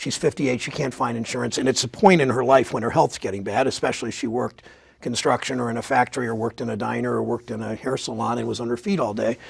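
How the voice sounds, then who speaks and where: A man talking very fast with hardly any pauses, over noticeable background noise. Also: medium pitch for a man, ordinary pitch variation. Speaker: politician, US senator. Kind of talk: interview answer.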